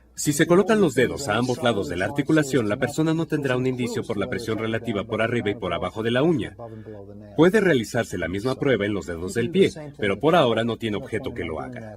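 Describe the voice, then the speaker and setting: A man talks at a very fast pace and medium pitch with lively intonation. Noticeable background noise can be heard. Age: 60s. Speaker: physician demonstrating a neurological exam. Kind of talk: clinical demonstration tutorial.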